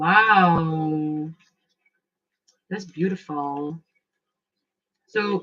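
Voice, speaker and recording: A woman's animated, fairly low voice with ordinary pitch variation. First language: not English. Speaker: tarot and oracle card reader. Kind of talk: live oracle card reading. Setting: livestream. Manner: casual, animated.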